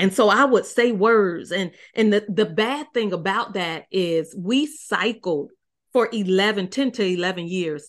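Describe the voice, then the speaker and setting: A woman speaks fairly slowly in an unremarkable speaking voice, her pitch varying in an ordinary way, with a quiet background behind her. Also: medium pitch for a woman. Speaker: marriage coach. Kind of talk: interview conversation.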